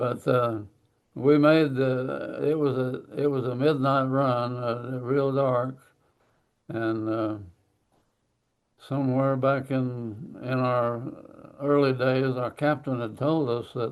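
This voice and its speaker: Monotone, flat intonation in an Oklahoma accent, at a very slow pace with long, frequent pauses. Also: man, medium pitch for a man. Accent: Southern US, Oklahoma. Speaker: war veteran. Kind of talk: interview answer.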